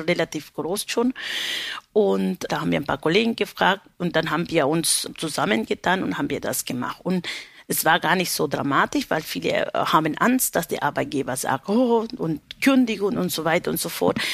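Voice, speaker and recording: The speaker has a Spanish accent, very wide pitch swings and vocal fry, at a moderate pace. The recording is very clean with a silent background. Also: woman, fairly low pitch for a woman. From Peru, Lima. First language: Spanish (speaking German). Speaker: baker and union representative. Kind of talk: interview.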